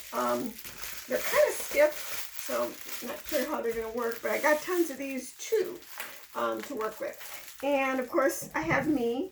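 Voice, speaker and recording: A woman talks fairly slowly while noticeable noise fills the background. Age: 60s. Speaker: fashion show contestant, florist. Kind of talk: casual interview.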